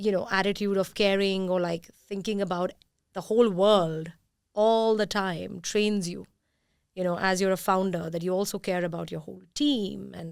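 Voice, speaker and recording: A woman speaks in an ordinary speaking voice with fairly even intonation, on a very clean recording with a silent background. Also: medium pitch for a woman, moderate pace. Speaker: podcast host and company founder. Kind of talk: podcast interview.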